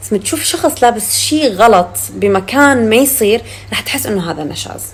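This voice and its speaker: Noticeable background noise sits behind this woman as she talks. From Syria. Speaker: actress. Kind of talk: casual chat.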